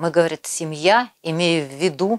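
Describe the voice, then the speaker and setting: Very slow speech over a quiet background. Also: woman. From Siberia, Krasnoyarsk region; Siberia, Russia. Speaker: poet. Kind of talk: poetry reading. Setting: video call. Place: home room. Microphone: lapel.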